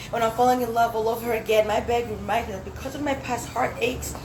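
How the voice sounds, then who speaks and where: A woman speaks at a fairly high pitch, with audible room echo and noticeable background noise around her. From Zambia, then US. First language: Swahili. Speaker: spoken word poet. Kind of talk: poetry performance. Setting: dinner event, small space.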